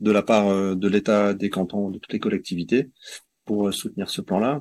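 In a quiet background, a man speaks with flat, monotone intonation. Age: 40s. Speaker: forest garden association member, former engineer. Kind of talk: interview. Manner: hesitant, many fillers.

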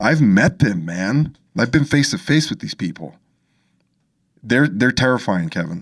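With an American accent and vocal fry, a man speaks fairly slowly with long, frequent pauses and very wide pitch swings on a very clean recording with a silent background. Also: medium pitch for a man. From Los Angeles, US. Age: 30s. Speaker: podcast host, audio engineer. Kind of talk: casual chat. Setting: studio.

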